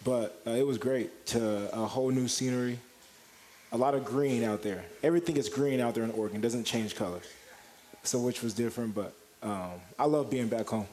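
Against noticeable background noise, a man talks at a fairly quick pace with ordinary pitch variation and long, frequent pauses. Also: medium pitch for a man. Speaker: college basketball player. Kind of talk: radio interview.

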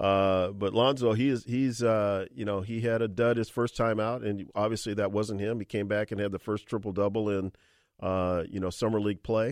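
A man with an unremarkable speaking voice talks at a fairly low pitch. His pace is moderate and his intonation fairly even. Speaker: radio host. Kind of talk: radio sports talk show. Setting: studio. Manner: conversational, chatty.

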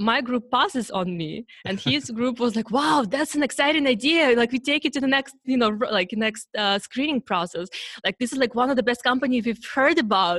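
Someone with a Russian accent speaks at a moderate pace with hardly any pauses and lively intonation. The sound is dry and close, with no echo. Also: woman, high pitch for a woman. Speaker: startup founder. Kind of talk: interview. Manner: halting.

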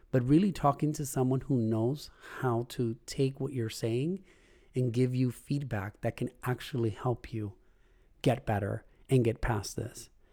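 A man speaks at a fairly slow pace with a medium pitch, ordinary pitch variation, a somewhat breathy, dark and mellow tone, and a very clean recording with a silent background. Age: adult. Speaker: podcast host. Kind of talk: personal monologue. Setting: home recording with puppies barking.

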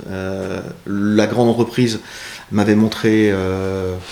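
Noticeable background noise is present throughout. Over it, a man talks with fairly level intonation. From northern France. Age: 40s. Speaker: e-commerce CEO. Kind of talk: interview. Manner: hesitant, many fillers.

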